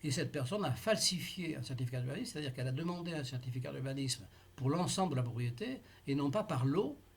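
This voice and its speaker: The speaker talks very fast in a somewhat breathy voice with ordinary pitch variation. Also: man, fairly high pitch for a man. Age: 80s+. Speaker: taxpayer in a dispute. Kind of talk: tense phone appeal with tax official. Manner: halting, many hesitations.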